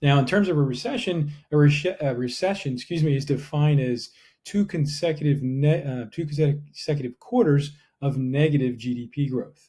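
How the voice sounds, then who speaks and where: A man with an American accent, a fairly high pitch, a somewhat breathy sound, and ordinary pitch variation. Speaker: real estate agent. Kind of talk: market update video. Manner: fast.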